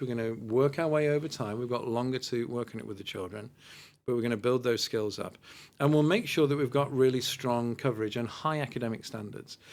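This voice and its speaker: A man speaks at a fairly quick pace with a British accent, his pitch medium with ordinary variation. The recording is very clean, with a silent background. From Britain. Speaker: school education director. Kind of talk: podcast interview. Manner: articulate, explanatory.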